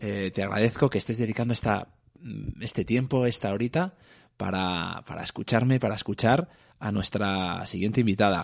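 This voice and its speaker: A man at a fairly low pitch and moderate pace, with ordinary pitch variation, against a quiet background. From Madrid, Spain. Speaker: podcast host. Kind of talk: interview. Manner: halting, many repetitions.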